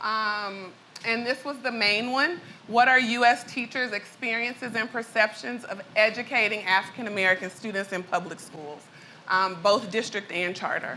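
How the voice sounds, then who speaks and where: Over noticeable background noise, a woman with an Arkansas accent speaks at a moderate pace in a fairly high pitch with ordinary pitch variation. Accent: Arkansas Southern accent, full. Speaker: education researcher and entrepreneur. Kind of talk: conference presentation. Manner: casual, frequent fillers.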